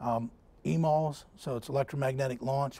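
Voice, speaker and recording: A man speaks at a medium pitch with a dark, mellow tone. His voice comes across somewhat breathy. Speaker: navy engineering branch manager. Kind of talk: technical seminar presentation. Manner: fast; halting, many fillers.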